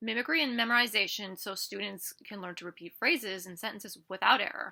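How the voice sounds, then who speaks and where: A woman speaks at a fairly quick pace in a bright, sharp tone. Vocal fry runs through her voice. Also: very clean recording, silent background. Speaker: student presenter. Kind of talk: reading aloud. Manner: fast.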